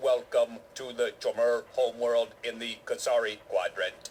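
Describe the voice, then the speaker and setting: Using a put-on, robotic character voice, a man speaks fairly slowly against clear background noise. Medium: video game. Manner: formal, stilted, expository.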